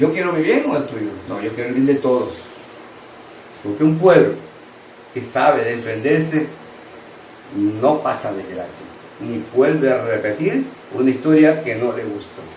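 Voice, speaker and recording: The delivery is fairly slow, with lively intonation and long, frequent pauses. Room echo is audible, and there is noticeable background noise. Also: man, fairly high pitch for a man. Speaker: opinion commentator. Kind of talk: opinion monologue. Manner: animated.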